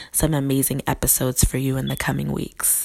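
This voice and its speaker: Noticeable background noise is present. A woman is the one speaking. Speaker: podcast host and pastor. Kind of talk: podcast intro. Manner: casual, friendly.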